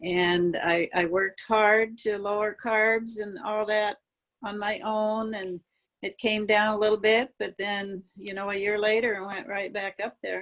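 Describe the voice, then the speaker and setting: Her intonation monotone and flat, a woman speaks at a fairly slow pace and medium pitch. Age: 70s. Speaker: client. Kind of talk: testimony.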